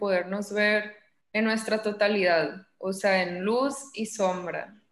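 At a fairly slow pace, a woman with an ordinary speaking voice speaks at a fairly high pitch. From Mexico, Sinaloa (Los Mochis). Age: 20s. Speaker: psychologist. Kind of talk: interview.

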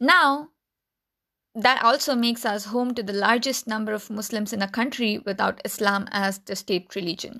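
A woman speaks at a moderate pace with a fairly high, bright, sharp voice and ordinary pitch variation. The recording is very clean, with a silent background. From India. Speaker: podcast host. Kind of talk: solo explainer podcast.

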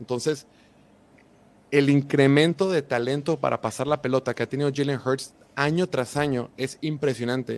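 Recorded with a dry, close sound and no echo, a man with a Mexican accent and fairly high pitch speaks at a moderate pace with fairly even intonation. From Mexico. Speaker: football content creator. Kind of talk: podcast interview.

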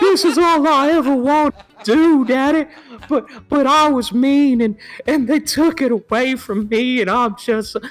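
This put-on character voice is high and whiny. The whiny tone comes at a fairly slow pace. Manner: mocking, whiny.

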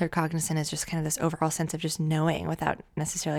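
This woman speaks with a very deep, low pitch, a monotone, flat delivery, and vocal fry. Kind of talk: guided visualization, channeled intuitive reading. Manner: dreamy, slow, awed and halting, with stretches and pauses as she describes visions; warm, soothing and affectionate, addressing listeners as loves.

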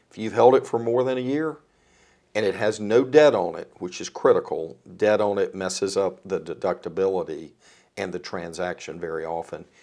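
On a very clean recording with a silent background, a man with a Southern US accent talks at a moderate pace with big swings in loudness. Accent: US South. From North Carolina, Rockingham County (Eden). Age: 60s. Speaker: philanthropy advisor. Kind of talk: casual chat.

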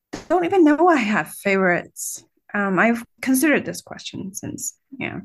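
A woman talks in a Chinese accent, her pitch swinging very widely, with vocal fry. The background is quiet. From China. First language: Mandarin Chinese. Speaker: college teacher and online video host. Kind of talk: interview.

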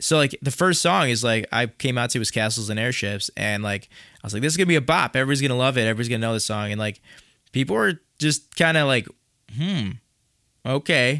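In a very clean recording with a silent background, a man with a Chicago accent speaks very fast and sounds excited, his medium-pitched voice bright and sharp in tone with ordinary pitch variation. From Chicago, US Midwest. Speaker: musician performer. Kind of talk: casual conversational interview. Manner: excited, casual.

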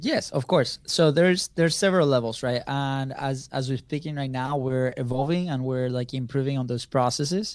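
A man speaks in an unremarkable speaking voice at a medium pitch and moderate pace. His intonation stays fairly even on a very clean recording with a silent background. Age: 30s. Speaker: business co-founder, content marketer. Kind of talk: interview.

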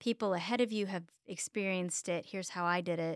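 On a very clean recording with a silent background and a dry, close sound with no echo, a woman with an American accent speaks at a fairly quick pace and medium pitch with ordinary pitch variation. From Texas, Dallas area (Richardson). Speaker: health coach. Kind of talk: interview. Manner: halting.

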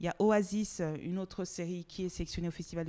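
A woman speaks in a fairly low, dark, mellow tone with monotone, flat intonation. The recording is very clean, with a silent background. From Togo. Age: 40s. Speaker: TV producer and actress. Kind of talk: interview.

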